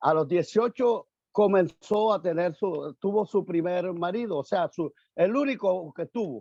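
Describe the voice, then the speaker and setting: Recorded with a dry, close sound, no echo, and a quiet background, a man speaks in a high voice with lively intonation. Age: 60s. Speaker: pastor. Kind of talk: testimony. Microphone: choppy connection.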